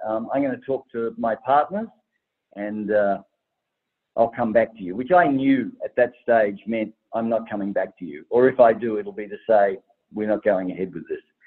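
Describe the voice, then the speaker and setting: A man's medium-pitched voice moves at a moderate pace with ordinary pitch variation and big swings in loudness. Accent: Australian. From Tasmania, Australia. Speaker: travel startup founder and investor. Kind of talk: podcast interview.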